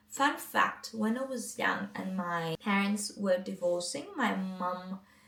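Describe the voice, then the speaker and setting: Noticeable background noise sits behind a woman with a non-native accent. She speaks at a fairly slow pace and a medium pitch. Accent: non-native English, still learning. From Greece. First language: Greek. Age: 20s. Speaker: mindset coach, vlogger. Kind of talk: casual vlog talk to camera.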